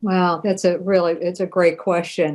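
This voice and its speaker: An unremarkable speaking voice from a woman, medium in pitch, at a moderate pace. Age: 60s. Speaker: human rights advocate and author. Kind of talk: podcast interview.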